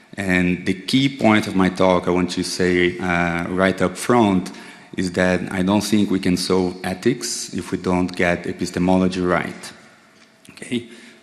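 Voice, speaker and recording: A man with a Brazilian accent speaks in a very deep, low voice at a fairly slow pace. His intonation is fairly even, and there is noticeable background noise. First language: Portuguese. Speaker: psychedelic therapy researcher. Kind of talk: lecture. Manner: halting, with frequent fillers.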